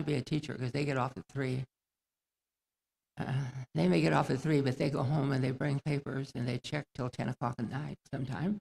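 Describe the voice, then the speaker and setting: The man's voice carries vocal fry, recorded dry and close with no echo. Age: 90s. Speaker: retired teacher, honoree. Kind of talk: commencement speech. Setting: graduation ceremony stage. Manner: halting.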